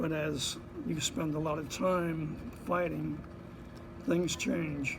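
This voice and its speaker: Very slow and broken by long, frequent pauses, a man's fairly high voice with an American accent shows ordinary pitch variation over noticeable background noise. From Bayonne, New Jersey. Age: 80s+. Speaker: Korean War veteran, Marine. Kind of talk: interview answer.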